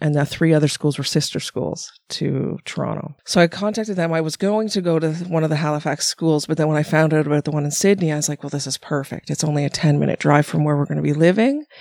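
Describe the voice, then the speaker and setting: A woman with a very deep, low pitch at a very fast pace, with hardly any pauses, fairly even intonation and a dry, close sound with no echo. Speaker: massage therapist. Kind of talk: casual chat. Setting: studio.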